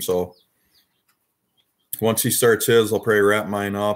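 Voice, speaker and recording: A man's fairly low voice in an Upper Midwest US accent, monotone and flat, at a moderate pace. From Wisconsin. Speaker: YouTuber, toy collector live streamer. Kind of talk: casual live stream chat.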